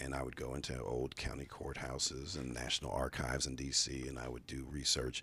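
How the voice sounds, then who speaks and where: This man's voice is very deep and low, with a bright, sharp tone. Vocal fry runs through it. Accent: American. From Chicago, US Midwest. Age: 50s. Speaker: state legislator. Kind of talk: interview. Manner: many fillers (uh, um).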